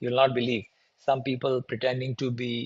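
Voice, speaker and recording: A somewhat breathy voice with a Bengali accent. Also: man. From India, Bengali-speaking region. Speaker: security conference speaker. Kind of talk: conference talk. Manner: hesitant, many fillers.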